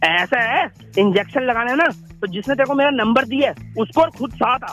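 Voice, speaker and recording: With music playing behind him, a man speaks at a moderate pace in an extremely high pitch with lively intonation. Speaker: prank call victim. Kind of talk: phone conversation, unaware of prank. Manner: angry, abusive.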